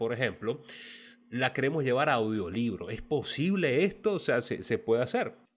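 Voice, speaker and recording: A man speaks fairly quickly with lively intonation. His is a normal speaking voice. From Venezuela. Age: 30s. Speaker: podcast host. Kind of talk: casual interview.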